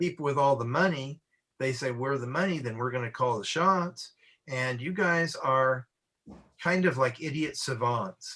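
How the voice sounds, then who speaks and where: A man's bright, sharp voice with an American accent, fairly high pitched, at a moderate pace with ordinary pitch variation. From Southern California. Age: 70s. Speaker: comics artist. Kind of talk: casual chat.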